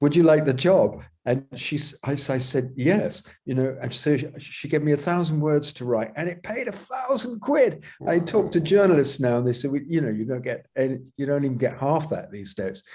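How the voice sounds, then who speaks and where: Fairly quick and lively in intonation, a man speaks at a fairly high pitch with a dark, mellow, somewhat breathy tone. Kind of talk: interview. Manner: halting.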